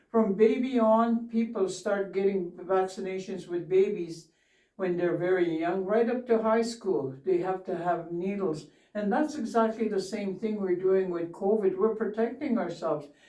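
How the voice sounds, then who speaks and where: Audible room echo surrounds a woman speaking at a moderate pace. Her pitch is medium, with ordinary variation. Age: 70s. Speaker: community elder. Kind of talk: interview.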